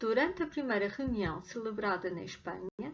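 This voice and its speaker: In a European Portuguese accent, a woman speaks at a fairly high pitch with lively intonation. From Portugal, Beira Interior region (Guarda). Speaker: language teacher. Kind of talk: read story for language learners.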